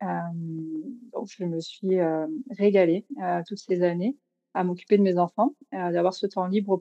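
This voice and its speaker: In a dry, close recording with no echo, a woman speaks very slowly with a dark, mellow tone and fairly even intonation. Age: 30s. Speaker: food photographer and magazine co-founder. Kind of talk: casual interview.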